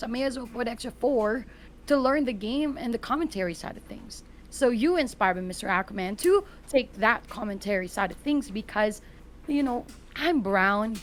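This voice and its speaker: A woman with a non-native accent talks at a fairly high pitch with lively intonation. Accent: foreign. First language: not English. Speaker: gaming content creator and commentator. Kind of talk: casual podcast interview.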